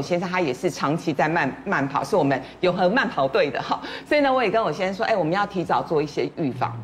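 Speaking at a very fast pace with hardly any pauses, a woman has a fairly low pitch and very wide pitch swings. Background noise is noticeable. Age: 50s. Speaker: media personality. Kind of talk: casual chat.

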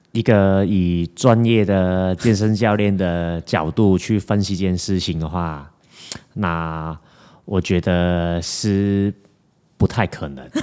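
A man speaks very slowly in a very deep, low voice. His tone is dark and mellow, with fairly even intonation. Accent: strong Hong Kong. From Hong Kong. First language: Cantonese (speaking Chinese). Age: 20s. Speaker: fitness coach. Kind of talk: casual chat.

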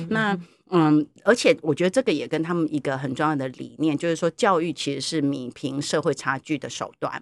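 A woman speaks with a very deep, low pitch. Her pace is fairly quick and her intonation lively. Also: dry, close sound with no echo. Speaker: university professor. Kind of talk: interview. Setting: studio.

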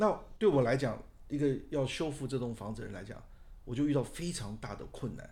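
A man's medium-pitched, somewhat breathy voice with a dark, mellow tone, lively intonation, fairly quick pace and big swings in loudness, in a room with audible echo. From Taiwan, Taipei. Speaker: architect. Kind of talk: interview.

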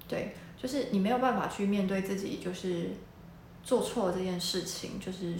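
Over noticeable background noise and audible room echo, a woman talks fairly slowly at a medium pitch with ordinary pitch variation. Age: 30s. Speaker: book reviewer. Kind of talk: book review monologue. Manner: casual, hesitant with fillers.

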